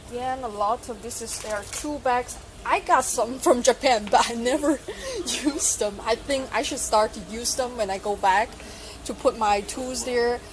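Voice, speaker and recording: Over noticeable background noise, a woman with a high pitch speaks at a moderate pace with ordinary pitch variation and big swings in loudness. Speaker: electronics hobby vlogger. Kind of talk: casual vlog chat. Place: shop. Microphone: phone near.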